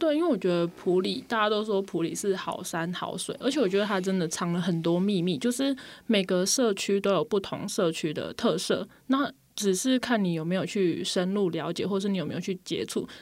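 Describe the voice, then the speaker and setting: This is a normal speaking voice with ordinary pitch variation at a fairly quick pace. It flows with hardly any pauses on a very clean recording with a silent background. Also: woman, medium pitch for a woman. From Taiwan, Pingtung. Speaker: social worker. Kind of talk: radio interview.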